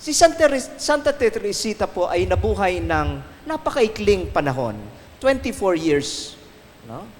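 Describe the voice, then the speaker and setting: A man with a high voice speaks at a very slow pace. His pitch swings very widely. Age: 60s. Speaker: priest. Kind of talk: recollection talk. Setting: shrine with audience.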